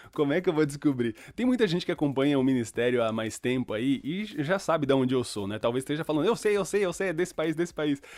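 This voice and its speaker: A man's fairly high, animated voice with lively intonation at a very fast pace, on a very clean recording with a silent background. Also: hardly any pauses. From Brazil (born in Chile, moved at about 7). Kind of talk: casual chat.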